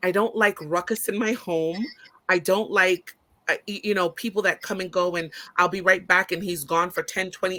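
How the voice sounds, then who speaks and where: A woman talks loudly at a moderate pace with a bright, sharp tone. Her medium pitch holds fairly even intonation. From Brooklyn, Caribbean family. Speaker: business owner and college professor. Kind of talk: casual chat.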